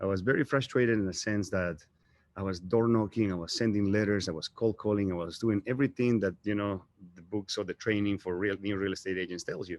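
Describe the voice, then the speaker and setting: Speaking at a very fast pace with a strong Bolivian accent, a man keeps a fairly low pitch and fairly even intonation over a quiet background. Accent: thick Bolivian Spanish. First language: Spanish. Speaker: real estate agent. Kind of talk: motivational talk. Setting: live stream.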